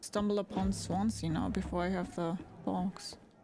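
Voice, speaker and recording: Music plays in the background as the speaker talks with a German accent. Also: woman. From Germany. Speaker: gaming streamer. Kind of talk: live gameplay stream chat. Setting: live stream.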